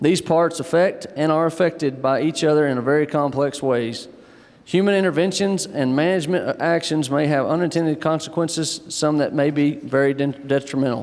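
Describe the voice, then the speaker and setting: At a fairly quick pace, a man with an American accent talks in a fairly high pitch, with fairly even intonation and very even loudness. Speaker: panel moderator. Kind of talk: panel discussion moderation. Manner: casual, folksy.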